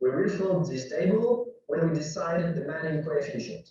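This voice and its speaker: A man speaks at a high pitch with a French accent. Room echo is audible. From France. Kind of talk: conference presentation.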